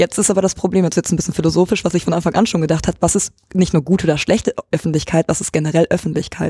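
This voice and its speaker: A very fast delivery in a dark, mellow tone, with dry, close sound and no echo. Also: woman. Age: 20s. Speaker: student. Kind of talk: casual discussion. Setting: room with open windows.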